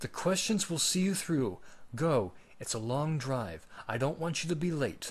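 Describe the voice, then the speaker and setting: Putting on a character voice, a man speaks at a moderate pace with a fairly high pitch, sounding raspy and hoarse. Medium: read story.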